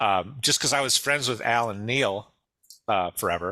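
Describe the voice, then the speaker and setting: With a Midwestern US accent, a man speaks at fairly low pitch in a bright, sharp tone on a very clean recording with a silent background. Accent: General American, Midwest. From US Midwest, Detroit. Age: 60s. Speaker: musician and songwriter. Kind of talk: interview.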